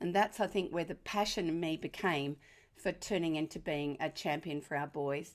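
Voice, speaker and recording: A woman with an Australian accent and a warm tone speaks at a fairly quick pace in a very clean recording with a silent background. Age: 70s. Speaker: parenting author and educator. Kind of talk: presentation to an audience. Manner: warm, lighthearted.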